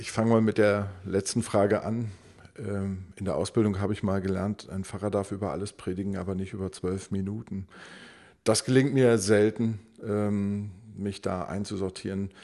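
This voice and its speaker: A man's fairly low, dark and mellow voice, monotone and flat, at a moderate pace over a quiet background. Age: 30s. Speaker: pastor. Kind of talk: interview. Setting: parish community centre.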